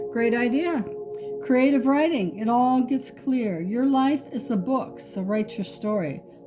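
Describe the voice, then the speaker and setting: A woman speaks with a fairly high pitch and lively intonation. Music plays in the background. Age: 60s. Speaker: tarot reader. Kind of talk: tarot reading. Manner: casual, conversational.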